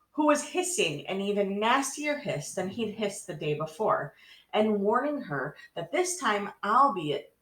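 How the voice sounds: It is a natural reading voice with lively intonation.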